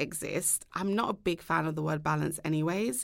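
A woman uses an ordinary speaking voice with lively intonation at a fairly slow pace. The recording is very clean, with a silent background. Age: 30s. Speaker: tech startup founder. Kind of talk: interview.

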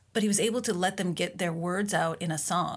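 Her voice medium in pitch and touched with vocal fry, a woman with an American accent talks at a moderate pace with fairly even intonation, on a very clean recording with a silent background. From Minnesota, US. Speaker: author and mother. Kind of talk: interview.

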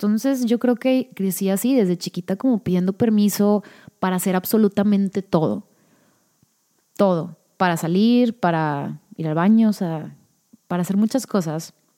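In a Mexican accent, a woman speaks at a moderate pace with a medium pitch and ordinary pitch variation. Her tone is dark and mellow, on a very clean recording with a silent background. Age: 30s. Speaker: podcast host. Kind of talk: casual solo monologue. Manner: natural with pauses.

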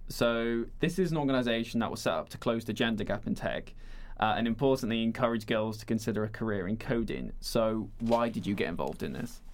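This man has an unremarkable speaking voice at medium pitch. He talks at a fairly quick pace with ordinary pitch variation. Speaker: podcast host. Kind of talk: interview, casual conversation. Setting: radio studio.

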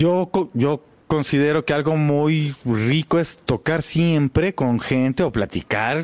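Dry and close with no echo, the voice moves at a very slow pace with very even loudness and ordinary pitch variation. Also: man, fairly high pitch for a man. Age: 40s. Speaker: jazz double bassist. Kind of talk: casual interview.

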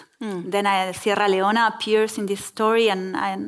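Medium pitch from a woman, intonation fairly even. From Argentina. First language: Spanish. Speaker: novelist. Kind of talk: onstage literary conversation. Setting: stage with audience.

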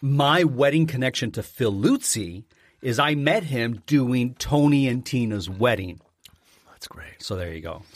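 On a very clean recording with a silent background, a man with a Canadian accent and a plain, everyday voice speaks at a medium pitch and a fairly slow pace, with lively intonation and big swings in loudness. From Southern Ontario, Canada. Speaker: podcast co-host, former front-of-house server. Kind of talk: casual chat.

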